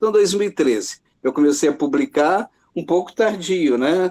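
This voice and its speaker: A man talks at a moderate pace with lively intonation. His tone is dark and mellow. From Brazil, Minas Gerais, Zona da Mata. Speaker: writer and journalism professor. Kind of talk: interview about his life and work. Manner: hesitant, many fillers.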